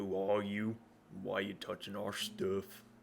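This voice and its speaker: A man's put-on character voice in a fairly low pitch, growling and rumbling at a moderate pace, over clear background noise. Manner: suspicious, confrontational.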